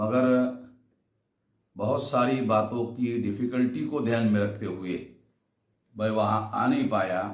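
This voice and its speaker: There is audible room echo as a man talks at a medium pitch with vocal fry. His intonation is fairly even, broken by long, frequent pauses. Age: 60s. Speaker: activist organization leader. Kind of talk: recorded speech to a convention. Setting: video message.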